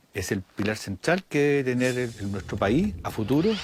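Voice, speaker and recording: Noticeable background noise runs under the recording. Over it, a man speaks at a medium pitch. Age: 60s. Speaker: designer and builder. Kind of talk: testimony in a TV report.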